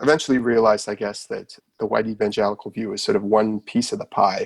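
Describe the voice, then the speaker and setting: A man with a Nova Scotian accent at a very fast pace, in a dry, close recording with no echo. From Canada, Nova Scotia. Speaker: author. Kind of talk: podcast interview.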